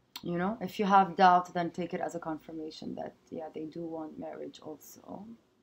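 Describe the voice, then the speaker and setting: A woman's fairly low voice at a fairly slow pace, over light background noise. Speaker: tarot reader. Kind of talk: improvised tarot reading to camera. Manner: hesitant, many filler sounds. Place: home room. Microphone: webcam.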